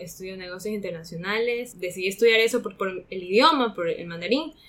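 A woman talks at a fairly quick pace with a fairly high pitch and lively intonation. Noticeable background noise runs behind her. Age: 20s. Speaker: coffee school intern and co-host. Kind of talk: interview, casual chat.

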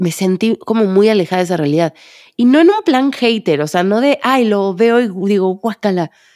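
Speaking at a moderate pace with a Mexican accent, a woman uses lively intonation and medium pitch in a dark, mellow tone, with a dry, close sound and no echo. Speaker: psychologist and podcast host. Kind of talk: solo podcast monologue.

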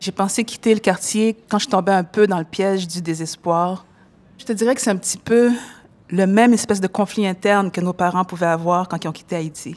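A woman's unremarkable speaking voice at a moderate pace, with fairly even intonation. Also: medium pitch for a woman. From Montréal-Nord, Quebec. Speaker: rapper. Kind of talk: interview.

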